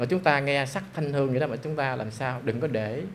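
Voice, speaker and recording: A man speaks at a fairly quick pace with ordinary pitch variation. Light background noise can be heard. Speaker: monk teacher. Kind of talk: dharma lecture. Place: hall. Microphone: handheld.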